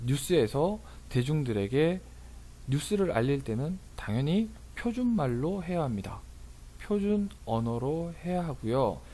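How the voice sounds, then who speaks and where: Somewhat breathy and dark, mellow in tone, a man's fairly high voice makes very wide pitch swings amid audible room echo. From rural Korea. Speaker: tax accountant and lecturer. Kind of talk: lecture. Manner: casual, with fillers.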